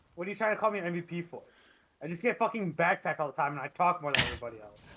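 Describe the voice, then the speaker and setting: The voice is loud and moves at a very fast pace. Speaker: esports caster. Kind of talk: live commentary. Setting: live stream.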